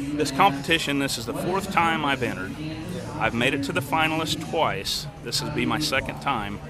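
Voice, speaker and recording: A man speaks at a fairly quick pace in a dry recording with no echo and loud background noise. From Kansas, USA. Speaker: auctioneer and real estate professional. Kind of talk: interview answer. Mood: upbeat, enthusiastic. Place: stadium. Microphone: phone near.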